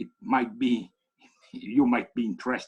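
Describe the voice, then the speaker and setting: A man speaks at a fairly slow pace with vocal fry. His pitch makes very wide swings. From Italy. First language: Italian. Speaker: economics professor. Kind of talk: keynote lecture. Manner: halting.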